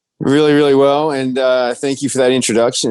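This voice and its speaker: The voice has a dark, mellow tone. It comes with an Australian accent. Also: man. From Australia, Melbourne. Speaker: biotech company CEO. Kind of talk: interview.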